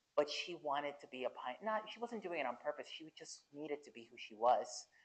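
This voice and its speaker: A woman speaks with a Spanish accent at a moderate pace. Her intonation is lively. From central Mexico. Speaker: Air Force veteran and LGBTQ+ advocate. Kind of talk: fireside chat interview. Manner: halting, with repeated false starts.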